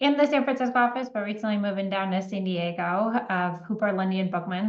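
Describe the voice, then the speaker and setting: A woman with an ordinary speaking voice talks fairly quickly at a medium pitch with fairly even intonation. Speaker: healthcare privacy lawyer. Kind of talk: webinar presentation.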